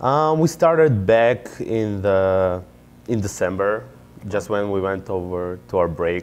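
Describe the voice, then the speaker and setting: With a non-native accent, a man talks at a very slow pace in a fairly low pitch, his intonation lively. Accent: foreign. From Israel. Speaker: MBA student and startup founder. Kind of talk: interview.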